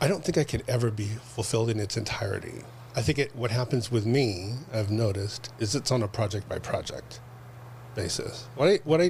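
Speaking at a fairly quick pace, a man has an American accent. His medium-pitched voice shows ordinary pitch variation. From Los Angeles, California. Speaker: producer and director. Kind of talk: casual interview.

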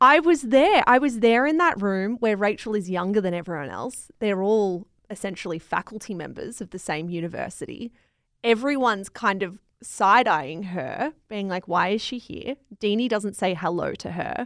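In an Australian accent, a woman speaks at a moderate pace with a medium pitch and lively intonation. The recording is very clean, with a silent background. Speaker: podcast host and media company co-founder. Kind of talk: casual book review chat.

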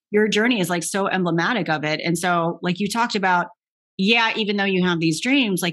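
Over a very clean recording with a silent background, a woman speaks in a normal speaking voice with ordinary pitch variation. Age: 40s. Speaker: podcast host, former tennis player. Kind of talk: interview conversation.

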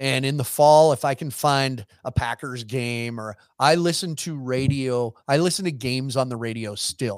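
With a normal speaking voice, a man talks at medium pitch and a moderate pace, his pitch varying in an ordinary way. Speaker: rodeo entertainer and sideline reporter. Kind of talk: casual chat. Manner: joking, witty.

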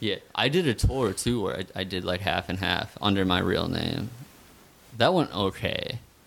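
Here is a man with an American accent and a plain, everyday voice. He talks at a moderate pace with fairly low pitch and ordinary pitch variation. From northeastern Pennsylvania. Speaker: musician. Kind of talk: casual chat. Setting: studio.

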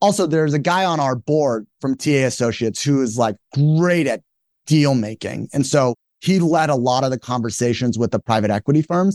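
An energetic man speaks at a fairly quick pace with a fairly high pitch, ordinary pitch variation and very even loudness, in a dry, close sound with no echo over a quiet background. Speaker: company founder and CEO. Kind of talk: interview conversation.

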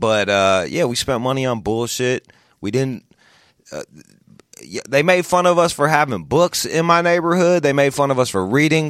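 In an American accent, a man with an unremarkable speaking voice talks at a moderate pace, fairly high in pitch with lively intonation, on a very clean recording with a silent background. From US Midwest, Pontiac, Michigan. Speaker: author. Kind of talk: casual chat.

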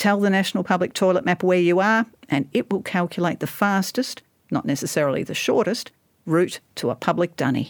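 In a very clean recording with a silent background and a dry, close sound with no echo, a woman with an Australian accent talks at a fairly quick pace, her medium pitch showing ordinary variation. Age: 60s. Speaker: writer and historian. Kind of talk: casual chat; reading aloud.

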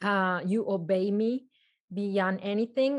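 With a Colombian accent, a woman speaks fairly slowly at a medium pitch, her intonation fairly even and the background quiet. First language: Spanish. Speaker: parenting coach. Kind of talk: casual interview chat.

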